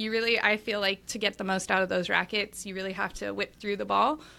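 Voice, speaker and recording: With an American accent, a woman speaks in a bright, sharp tone with vocal fry and lively intonation, captured in a very clean recording with a silent background. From Los Angeles, California. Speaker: tennis gear play-tester and podcaster. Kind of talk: casual interview chat. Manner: upbeat, energetic, positive; scattered, talkative.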